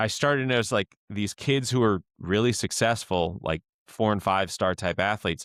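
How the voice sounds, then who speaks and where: Heard dry and close with no echo on a very clean recording with a silent background, a man with an American accent and a plain, everyday voice speaks at a moderate pace and fairly low pitch, with ordinary pitch variation and very even loudness. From Florida (Tallahassee). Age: 30s. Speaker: podcast host, strength coach. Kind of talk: casual interview chat.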